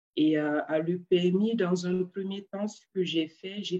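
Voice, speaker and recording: Here a woman speaks at a fairly slow pace with fairly even intonation. Her voice is fairly low in pitch, with a dark, mellow tone. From Niger (Arlit). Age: 20s. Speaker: engineer. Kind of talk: interview. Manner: hesitant, many fillers.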